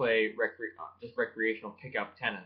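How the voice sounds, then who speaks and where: Using ordinary pitch variation, a man speaks at a moderate pace. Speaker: vlogger and tennis coach. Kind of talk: casual vlog chat. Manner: lighter tone in vlogs; halting, many fillers.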